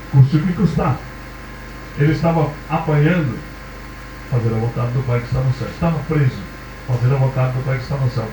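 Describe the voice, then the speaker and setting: Fairly quick speech from a man, with noticeable background noise and audible room echo. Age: 60s. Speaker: preacher. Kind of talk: sermon.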